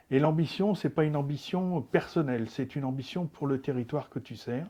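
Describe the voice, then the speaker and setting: Over a quiet background, a man speaks with a dark, mellow tone at a fairly high pitch. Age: 60s. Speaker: local politician. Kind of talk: interview. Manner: hesitant, many filler sounds.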